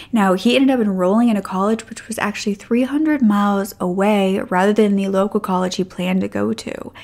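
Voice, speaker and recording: A woman speaks at a fairly quick pace, her pitch varying an ordinary amount. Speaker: true crime narrator. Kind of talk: storytelling commentary. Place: home room. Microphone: studio mic.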